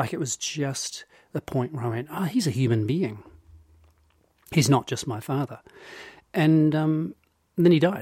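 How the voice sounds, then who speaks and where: A man with a dark, mellow tone and a somewhat breathy, fairly high-pitched voice speaks at a moderate pace with lively intonation and long, frequent pauses, the sound dry and close with no echo. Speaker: podcast co-host. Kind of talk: casual chat.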